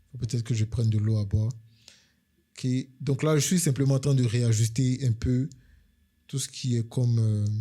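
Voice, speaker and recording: A man's somewhat breathy, medium-pitched voice with a dark, mellow tone, a moderate pace, fairly even intonation, and long, frequent pauses, in a very clean recording with a silent background. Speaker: UX/UI designer, tutorial creator. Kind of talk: screen-share tutorial. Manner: hesitant, many fillers.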